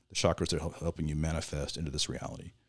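In a West Coast accent, a man with a very deep, low pitch speaks at a very fast pace, recorded very cleanly against a silent background. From Southern Oregon, US. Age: 50s. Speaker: shaman and ceremony facilitator. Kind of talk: casual interview conversation. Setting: in person at a retreat.

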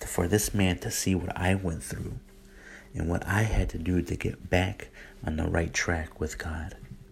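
Very deep and somewhat breathy, this man speaks fairly slowly. His intonation is fairly even. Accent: American. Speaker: podcaster sharing his faith story. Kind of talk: testimony. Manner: hesitant, many fillers.

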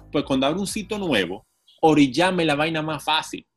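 With music in the background, a man speaks at a fairly quick pace using lively intonation. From Dominican Republic, Santo Domingo. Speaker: city councillor and cycling activist. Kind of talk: casual interview. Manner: animated.

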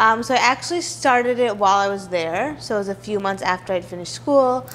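Through noticeable background noise, a woman talks at a fairly quick pace with lively intonation. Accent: American. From New York City, Manhattan. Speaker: food blogger. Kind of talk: interview.

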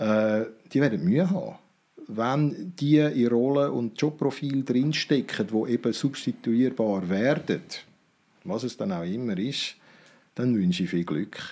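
Long, frequent pauses break up a man's speech, which has a medium pitch, a dark, mellow tone and lively intonation. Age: 50s. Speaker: business consultant. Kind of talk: interview.

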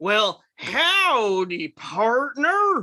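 A female-sounding put-on character voice with a fairly high pitch moves through very wide pitch swings. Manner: folksy, friendly.

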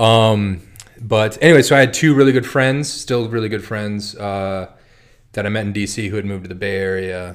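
Using a normal speaking voice, a man with a fairly low pitch talks at a moderate pace with ordinary pitch variation and big swings in loudness. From North Dakota, US Midwest. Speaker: cider maker. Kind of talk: casual chat. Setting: studio.

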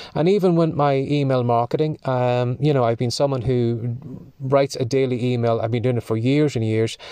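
A man speaks with an Irish accent in a dark, mellow tone, his loudness very even and his intonation fairly even. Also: medium pitch for a man, fairly quick pace, quiet background. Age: 50s. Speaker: podcast host, writer. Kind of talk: solo monologue podcast.

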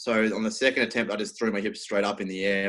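A man speaks with an Australian accent. His pitch sits fairly low. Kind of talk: casual interview.

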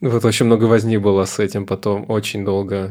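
In a monotone, flat delivery, a man talks at a fairly low pitch. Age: 20s. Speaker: psychotherapist. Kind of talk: casual interview.

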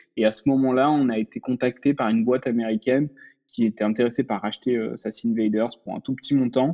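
A man is speaking. His pace is very fast. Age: 30s. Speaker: startup founder. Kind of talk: casual interview.

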